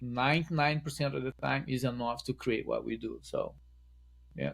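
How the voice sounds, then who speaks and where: A man is speaking. He has a strong Brazilian accent. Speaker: wedding photographer. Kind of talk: podcast interview.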